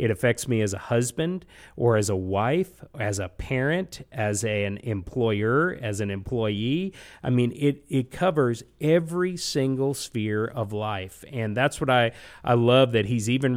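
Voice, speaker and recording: This is a normal speaking voice moving at a fairly slow pace. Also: man. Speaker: executive pastor, Bible study leader. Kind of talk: interview with Bible teaching.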